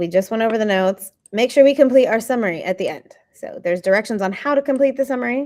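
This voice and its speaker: A woman speaks at a fairly quick pace in a fairly high pitch with ordinary pitch variation. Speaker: biology teacher. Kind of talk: lecture.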